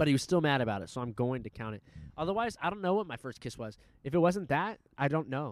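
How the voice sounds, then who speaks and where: In an American accent, a man talks at a very fast pace with a fairly high pitch. His tone is animated, with very wide pitch swings. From Southern California, Fountain Valley. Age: 20s. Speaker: podcast host. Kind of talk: casual chat. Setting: on location at a high school.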